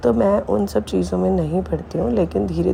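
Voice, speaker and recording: A woman speaks with ordinary pitch variation. Background noise is noticeable behind her. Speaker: spiritual devotee sharing satsang. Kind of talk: devotional testimony. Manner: halting with fillers.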